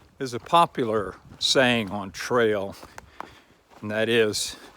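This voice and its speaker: A fairly low-pitched man at a fairly slow pace, ordinary pitch variation, noticeable background noise. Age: 60s. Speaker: long-distance hiker and vlogger. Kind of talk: outdoor video diary. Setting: outdoors on hiking trail. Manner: casual, hesitant with many fillers.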